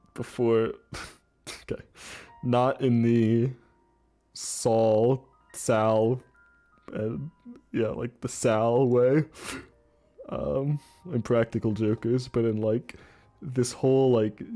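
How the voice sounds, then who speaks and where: Over music in the background, a man with a medium-pitched voice speaks at a very slow pace, with fairly even intonation and long, frequent pauses. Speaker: gaming streamer. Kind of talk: live stream commentary. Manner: halting.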